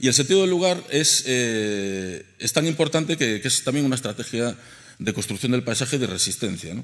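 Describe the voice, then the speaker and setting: The man's intonation is lively, and the background around him is quiet. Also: medium pitch for a man, fairly quick pace. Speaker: archaeologist; panelist. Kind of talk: panel presentation. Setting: stage with audience. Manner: humorous. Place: hall.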